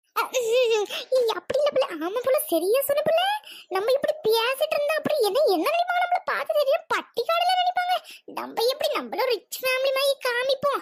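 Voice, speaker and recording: A woman's loud, cartoonish character voice, extremely high-pitched, with very wide pitch swings at a moderate pace. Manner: quick-tempered, loud, scolding.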